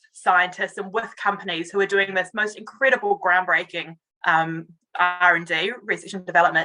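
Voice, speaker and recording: A woman with a New Zealand accent speaks at a moderate pace and medium pitch, keeping her intonation fairly even. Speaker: communications director. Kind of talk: interview. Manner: hesitant, many fillers.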